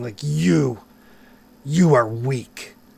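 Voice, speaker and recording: Putting on a character voice, a man booms out his lines at a medium pitch. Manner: menacing.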